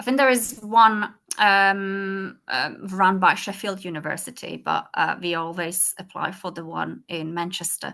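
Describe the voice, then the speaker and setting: Over a quiet background, a woman with a Czech accent speaks at a fairly slow pace with hardly any pauses, big swings in loudness and a bright, sharp tone. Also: medium pitch for a woman, ordinary pitch variation. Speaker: school language support lead. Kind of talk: presentation and Q&A in online meeting. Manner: halting, many fillers.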